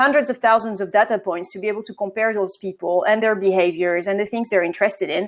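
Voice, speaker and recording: In a very clean recording with a silent background, a woman with a French accent talks very fast at a fairly high pitch. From France. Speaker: marketing agency co-founder. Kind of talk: interview.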